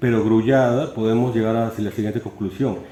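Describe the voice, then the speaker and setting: A man's dark, mellow tone is heard with audible room echo. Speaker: philosophy lecturer. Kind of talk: lecture. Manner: fast, with stumbles and repetitions.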